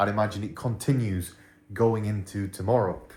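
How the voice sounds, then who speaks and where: A man with a British accent, fairly low in pitch and somewhat breathy, fairly quick, with fairly even intonation. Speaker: crypto trading youtuber. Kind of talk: casual market commentary to camera. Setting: hotel room. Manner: kept quiet, voice lowered.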